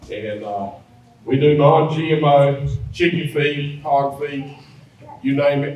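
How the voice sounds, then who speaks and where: A man with a North Carolina accent speaks at a fairly high pitch. Audible room echo and noticeable background noise are present. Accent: Southern US (North Carolina). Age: 60s. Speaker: feed mill owner. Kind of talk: presentation to an audience. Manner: casual, conversational.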